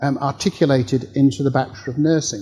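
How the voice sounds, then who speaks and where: A dark, mellow tone comes through. The voice carries some breathiness. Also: man. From Australia. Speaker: professor. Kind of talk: workshop Q&A answer.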